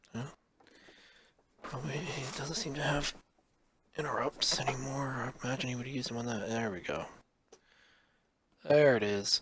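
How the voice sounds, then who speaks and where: A quiet man talks at a moderate pace with long, frequent pauses. His pitch is medium, with ordinary pitch variation. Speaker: card game streamer. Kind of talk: gameplay commentary.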